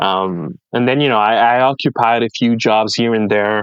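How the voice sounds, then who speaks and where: A man's medium-pitched voice with a French Canadian accent, at a fairly slow pace, in a dry, close sound with no echo. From French Canada. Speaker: podcast guest, content creator. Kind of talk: casual interview chat, life story.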